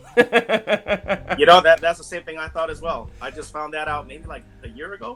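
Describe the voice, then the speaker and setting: Over music in the background, a man speaks at a moderate pace in a high voice with ordinary pitch variation and big swings in loudness. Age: 40s. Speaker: guest, former military brat. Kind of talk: casual chat.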